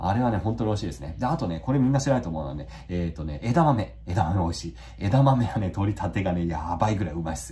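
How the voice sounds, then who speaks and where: Very fast and with hardly any pauses, a man talks in a very deep, low voice that makes very wide pitch swings over noticeable background noise. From Kanagawa, Yokohama (Totsuka). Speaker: YouTuber and rural relocation blogger. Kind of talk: casual monologue. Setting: home office. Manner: frequent filler hesitations.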